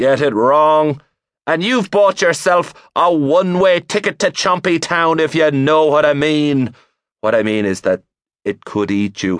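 In an Irish accent, a man with a fairly high pitch speaks fairly slowly in an animated, dramatic tone with very wide pitch swings, recorded with a dry, close sound and no echo. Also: quiet background. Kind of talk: comic audiobook narration, mock-serious. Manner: animated, with dramatic gasps and sighs.

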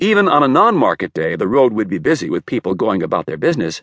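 A man speaks at medium pitch with very wide pitch swings. Vocal fry runs through his voice. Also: dry, close sound with no echo. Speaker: audiobook narrator. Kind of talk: audiobook narration of a wartime memoir, read aloud in first person. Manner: measured, storytelling pace, reflective and wistful.

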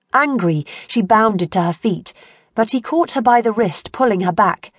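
Against a quiet background, a woman with an unremarkable speaking voice talks at a fairly high pitch and a moderate pace with lively intonation, in a dry, close sound with no echo. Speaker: audiobook narrator. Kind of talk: audiobook dramatic narration of a historical romance. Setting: studio.

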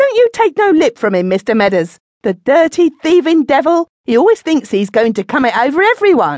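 A woman's put-on character voice, high, shrill and whiny, with very wide pitch swings, a moderate pace, and a dry, close sound with no echo. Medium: read story. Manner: whining, gossipy, then shrill and abusive.

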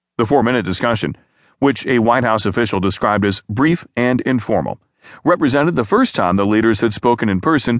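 Over a quiet background, a man with a normal speaking voice talks fairly quickly at medium pitch with lively intonation. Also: very even loudness. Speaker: audiobook news narrator. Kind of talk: formal news reading. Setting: studio. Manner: formal, even, measured newsreader delivery; steady, neutral, unemotional pacing.

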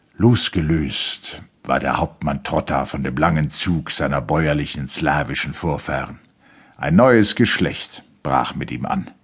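Very deep and low, a man's voice carries vocal fry and lively intonation. He speaks at a very slow pace. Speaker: audiobook narrator. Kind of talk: audiobook reading of a literary novel, dramatic narration. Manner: measured, formal; dramatic, expressive.

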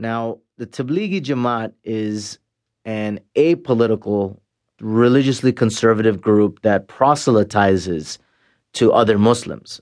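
A man speaks at a medium pitch against a quiet background. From Canada. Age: 40s. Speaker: former jihadist. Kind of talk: interview testimony. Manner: halting.

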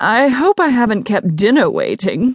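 Putting on a character voice, a woman speaks at a fairly high pitch with very wide pitch swings and a moderate pace, in a dry, close sound with no echo.

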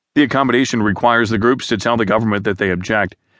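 Against a quiet background, a man at medium pitch talks at a very fast pace with ordinary pitch variation, the sound dry and close with no echo. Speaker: news narrator. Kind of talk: formal news reading, scripted. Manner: formal, even-paced; measured, neutral, newsreader delivery.

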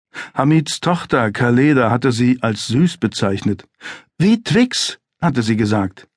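In a calm, serious tone with lively intonation, a man speaks at a very slow pace. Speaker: audiobook narrator. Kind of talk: dramatic audiobook narration of a thriller, read aloud. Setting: studio. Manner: tense, suspenseful, measured pacing that builds to a chilling, controlled calm; gravely serious, vividly descriptive, with dramatic emphasis on short sentences.

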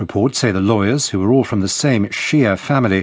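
A man speaks with a British accent at a fairly quick pace. His pitch varies in an ordinary way. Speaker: newsreader. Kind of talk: news reading. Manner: formal.

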